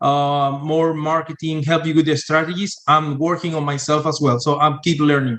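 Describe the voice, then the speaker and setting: Speaking with a Spanish accent, a man with a fairly high pitch keeps his intonation monotone and flat. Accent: Spanish-accented English, non-native. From Venezuela. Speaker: sales and marketing entrepreneur, engineer. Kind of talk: podcast interview. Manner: halting, many fillers.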